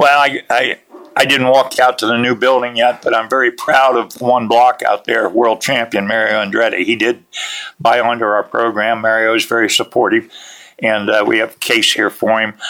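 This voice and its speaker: A man with an American accent speaks at a medium pitch. His bright, sharp tone carries a monotone, flat intonation. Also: moderate pace. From central Pennsylvania. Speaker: motorsports museum founder and former racer. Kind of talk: interview. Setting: on location at a museum.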